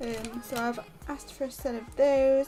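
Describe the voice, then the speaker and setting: A soft-spoken voice in a British accent, with music in the background. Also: woman. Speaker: crafting livestreamer. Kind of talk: casual livestream chat while colouring. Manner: soft-spoken, quiet; fast, mumbling.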